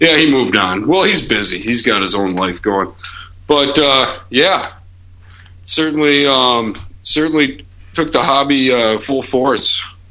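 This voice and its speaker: Using lively intonation and a bright, sharp tone, a man with an American accent speaks at medium pitch and a fairly slow pace, with audible room echo. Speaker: homebrewer. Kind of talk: interview.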